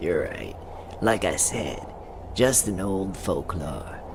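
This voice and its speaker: Over loud background noise, a cartoonish character voice speaks at a very slow pace. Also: man. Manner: ominous, teasing.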